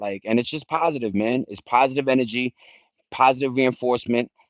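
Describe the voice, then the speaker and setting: A man talks at a medium pitch with a New York accent. The background is quiet, and the sound is dry and close with no echo. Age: 40s. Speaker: live streamer. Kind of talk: casual livestream chat. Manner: animated.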